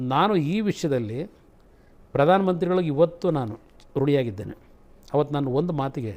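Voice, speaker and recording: Pitched fairly high, this man's voice has a dark, mellow tone. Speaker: politician. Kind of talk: interview answer.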